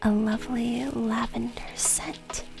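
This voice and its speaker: Soft-spoken whispering comes through with music in the background. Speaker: VTuber streamer. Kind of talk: ASMR stream, soft whispered talk to viewers. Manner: soft, whispering.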